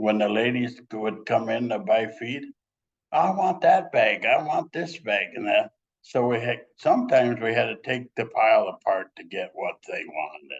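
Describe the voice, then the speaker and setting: A man speaks at a moderate pace with an Upper Midwest accent. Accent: Upper Midwest American. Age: 80s+. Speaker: former high school wrestler. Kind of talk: casual interview.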